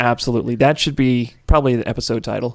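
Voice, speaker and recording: With an American accent, a man speaks very fast at a medium pitch. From US South, New Orleans, Louisiana. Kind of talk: casual chat. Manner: animated.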